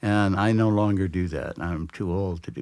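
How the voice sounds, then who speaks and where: A man's very deep, low voice at a moderate pace. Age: 70s. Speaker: blues musician. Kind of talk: interview. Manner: halting.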